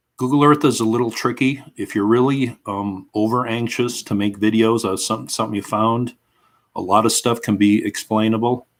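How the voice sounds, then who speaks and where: Speaking at a moderate pace with a Minnesotan accent, a man keeps a medium pitch and fairly even intonation in a very clean recording with a silent background. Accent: Minnesota. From Minnesota, US. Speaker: history YouTuber. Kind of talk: casual livestream chat. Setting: at home, live stream.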